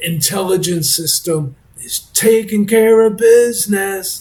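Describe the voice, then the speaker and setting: Very slow speech with lively intonation over noticeable background noise. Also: man. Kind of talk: informal talk to camera reading a comment reply. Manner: stuttering, hesitant.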